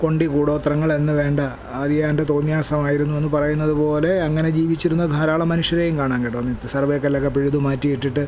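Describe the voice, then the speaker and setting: A man speaks in a fairly high pitch with monotone, flat intonation. Audible room echo and noticeable background noise surround him. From Kerala, Kollam district village. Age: 50s. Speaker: poet and radio program executive. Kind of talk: reflective talk.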